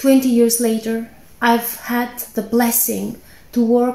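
A woman with an Albanian accent speaks at a moderate pace in a fairly high pitch. Her intonation is monotone and flat, and the room echo is audible. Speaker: scientist. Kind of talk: personal testimony speech. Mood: earnest, calm, heartfelt. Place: home room. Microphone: phone near.

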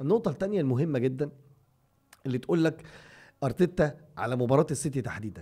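A man speaks fairly quickly with lively intonation and long, frequent pauses. His voice is dark, mellow and somewhat breathy over a quiet background. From Egypt. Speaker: football podcast co-host. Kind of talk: casual chat. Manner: animated. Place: studio. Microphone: studio mic.

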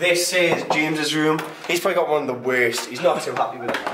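Room echo surrounds a man speaking at a fairly high pitch and a fairly quick pace. His tone is fairly bright, with ordinary pitch variation.

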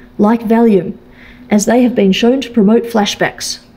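At a moderate pace, a woman is speaking. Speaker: presenter. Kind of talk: lecture. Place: hall. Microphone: podium.

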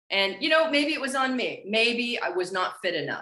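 Very wide pitch swings in an American accent, with audible room echo over a quiet background. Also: woman. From Los Angeles, US. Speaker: actress and former model; actress. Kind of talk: interview. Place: home room. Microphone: earbuds.

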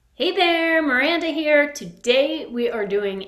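A woman speaks at a high pitch and a fairly slow pace. Room echo is audible. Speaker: fitness instructor. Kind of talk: workout video intro. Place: home room. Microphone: phone near.

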